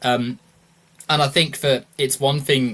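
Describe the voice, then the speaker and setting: A man speaks at a medium pitch with a British accent. His tone is bright and sharp. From United Kingdom. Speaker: podcast host. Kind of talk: casual political discussion. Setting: livestream.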